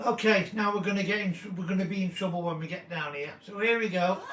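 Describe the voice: A man speaks fast in a croaky voice, pitched high with a fairly bright tone. His pitch varies in an ordinary way, and there is audible room echo.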